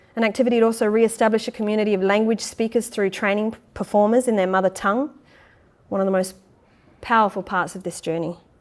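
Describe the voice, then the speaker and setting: On a very clean recording with a silent background, a woman with an Australian accent talks at a very fast pace, fairly high-pitched with fairly even intonation. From Perth, Western Australia. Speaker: actor, theatre maker and playwright. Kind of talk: public lecture.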